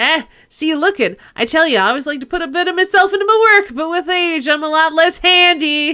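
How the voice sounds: A woman uses a put-on character voice, extremely high and raised to project. She races along at a fairly quick pace with lively intonation and hardly any pauses.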